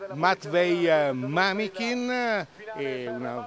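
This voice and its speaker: Very wide pitch swings in a dry sound with no echo, over noticeable background noise. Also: man. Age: old. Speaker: sports commentator. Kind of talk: live commentary. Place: street. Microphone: handheld.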